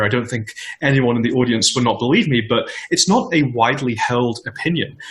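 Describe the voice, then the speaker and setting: There is audible room echo. A man speaks at a fairly quick pace. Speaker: tech startup founder and CEO. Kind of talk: conference interview. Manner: fast.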